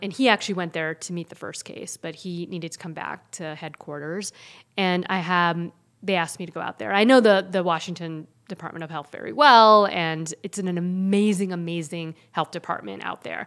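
A woman with a plain, everyday voice speaks at a fairly low pitch and a fairly quick pace, with ordinary pitch variation. Her loudness swings widely, on a very clean recording with a silent background. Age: 40s. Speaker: pediatrician and public health physician. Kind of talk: casual chat.

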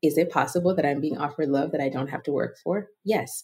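A woman's somewhat breathy voice with lively intonation at a moderate pace. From Nigeria (Lagos). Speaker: writer and Enneagram teacher. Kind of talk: casual interview chat.

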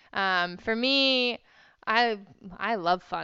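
Against a quiet background, a woman with a Texan accent speaks in a bright, sharp tone. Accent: Texan American. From Texas. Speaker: event rider and riding instructor. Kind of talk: interview.

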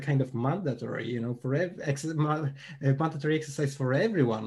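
A man with a fairly high, somewhat breathy voice talks at a moderate pace. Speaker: audience member joining discussion. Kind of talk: casual group discussion.

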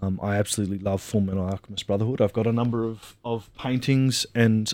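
Speaking at a fairly quick pace, a man with an Australian accent uses a medium pitch and fairly even intonation in a dry, close sound with no echo. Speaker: IT worker and anime fan. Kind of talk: casual chat. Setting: remote recording studio.

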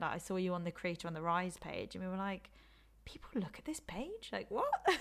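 A woman's medium-pitched voice with lively intonation and an English accent. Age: 20s. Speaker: social media influencer and YouTuber. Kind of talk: casual chat. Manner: laughs often.

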